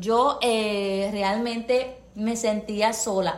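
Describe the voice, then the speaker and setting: The voice has fairly even intonation, heard with audible room echo. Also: woman. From Puerto Rico. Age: 30s. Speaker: nurse and counselor. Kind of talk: testimony.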